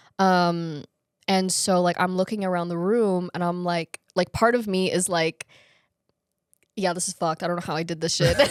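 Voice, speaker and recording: A woman at a fairly low pitch and moderate pace, with fairly even intonation and a dry, close sound with no echo. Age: young. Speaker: fashion brand founder. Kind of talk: interview. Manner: halting.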